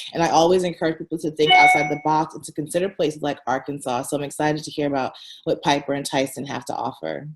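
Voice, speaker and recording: Speaking very fast in an American accent, a woman with a very deep, low pitch keeps her intonation fairly even. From San Francisco Bay Area, US. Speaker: entrepreneur, founder of a relocation platform. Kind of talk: interview.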